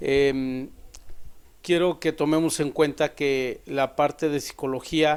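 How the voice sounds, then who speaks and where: Against a very clean recording with a silent background, a man speaks at a very slow pace. His fairly high pitch follows a fairly even intonation. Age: 50s. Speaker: psychologist. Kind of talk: podcast self-introduction. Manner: formal.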